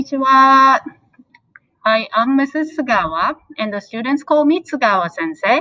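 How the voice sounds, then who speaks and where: At a moderate pace, a woman projects her high-pitched voice with lively intonation. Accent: Japanese. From Japan. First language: Japanese. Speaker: high school language teacher. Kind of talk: presentation to parents.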